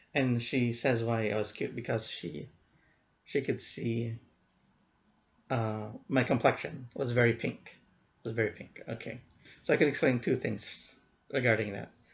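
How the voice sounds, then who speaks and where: A man speaks at a moderate pace in a medium pitch, with ordinary pitch variation. His voice is somewhat breathy, and he takes long, frequent pauses. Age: 40s. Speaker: vlogger. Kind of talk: casual vlog monologue. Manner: halting, many fillers and repeats.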